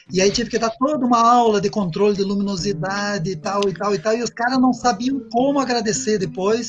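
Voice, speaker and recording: Music in the background behind a man's high-pitched voice at a fairly quick pace with ordinary pitch variation. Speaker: agronomist and professor. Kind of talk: interview.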